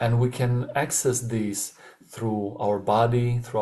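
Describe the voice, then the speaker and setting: A very slow pace and a non-native accent. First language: not English. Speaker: webinar facilitator. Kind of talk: webinar talk. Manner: halting, many filler sounds.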